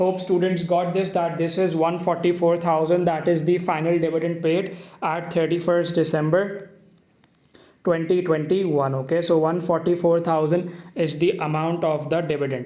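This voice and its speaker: In a room with audible echo, a man with a high pitch speaks at a moderate pace, his loudness very even and his intonation monotone and flat. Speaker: accounting teacher. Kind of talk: tutorial.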